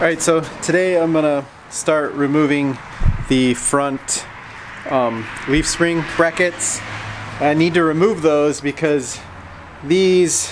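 A man talks at a very slow pace with long, frequent pauses, his intonation fairly even and his loudness very even. Noticeable background noise runs underneath. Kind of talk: casual vlog tutorial. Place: garage. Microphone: phone near.

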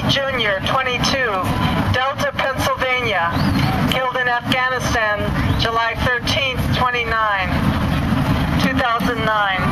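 With music in the background, a man speaks at a very slow pace, leaving long, frequent pauses. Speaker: memorial name reader. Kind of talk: solemn reading of names. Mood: solemn, measured. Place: street.

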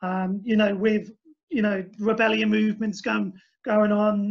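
A man speaks with a high pitch and fairly even intonation at a moderate pace. The background is quiet. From Essex, England. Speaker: humane wildlife pest controller. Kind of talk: webinar presentation. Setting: online webinar with screen share. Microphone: video call.

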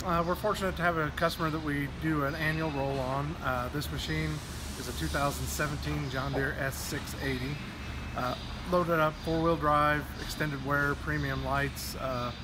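A man talks at a fairly slow pace. Noticeable background noise is heard. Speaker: farm equipment salesman. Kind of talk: interview answer. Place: workshop. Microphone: phone near.

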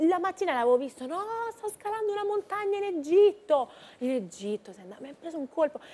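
A woman at a very fast pace, extremely high in pitch, with very wide pitch swings and big swings in loudness. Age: 20s. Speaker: singer and actress; guest singer-actress. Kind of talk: TV interview. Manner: halting. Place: studio.

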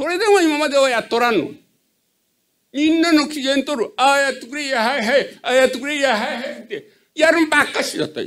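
Speaking at a fairly quick pace with a Hiroshima accent, a man uses an extremely high pitch with ordinary pitch variation and big swings in loudness. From Japan. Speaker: citizen asking question. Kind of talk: audience question at public meeting. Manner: halting. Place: hall.

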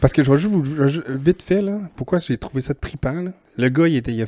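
With a Quebec accent, a man speaks at a fairly quick pace with ordinary pitch variation. His tone is dark and mellow, and the sound is dry with no echo. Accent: Québécois French. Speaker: podcast co-host. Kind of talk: casual chat. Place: home room. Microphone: handheld.

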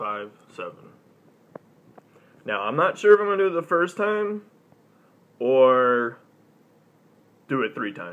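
A man speaks at a very slow pace with long, frequent pauses, very wide pitch swings and big swings in loudness. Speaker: gaming channel host. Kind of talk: casual live stream talk. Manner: casual, hesitant. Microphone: phone near.

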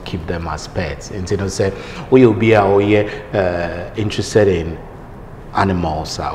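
A light hiss of background noise sits under fairly even intonation. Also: man. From Ghana. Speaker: TV news anchor. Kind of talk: interview. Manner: controlled. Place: office.

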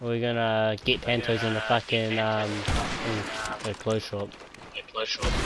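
A man speaks with monotone, flat intonation. There is noticeable noise in the background. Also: medium pitch for a man, moderate pace. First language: not English. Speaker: gaming YouTuber. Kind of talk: gameplay commentary with friend. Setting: online voice chat while gaming. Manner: halting.

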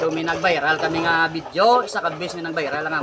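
A man speaks at a fairly quick pace in a high voice. Noticeable background noise runs behind him. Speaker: vlogger. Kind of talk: casual vlog talk to followers.

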